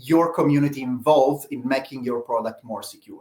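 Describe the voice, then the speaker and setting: A man speaks with an Italian accent. His intonation is fairly even. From Italy. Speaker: open-source project leader. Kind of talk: live Q&A talk. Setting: live stream. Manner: halting, many fillers.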